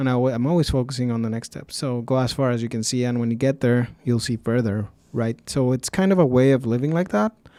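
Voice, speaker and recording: Very fast and with hardly any pauses, this dark, mellow voice shows ordinary pitch variation on a very clean recording with a silent background. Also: man, medium pitch for a man. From Mexico. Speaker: podcast host. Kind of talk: podcast interview.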